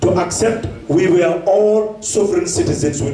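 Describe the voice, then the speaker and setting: A man at a fairly slow pace, with light background noise and audible room echo. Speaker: politician addressing diaspora. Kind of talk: political speech. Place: hall.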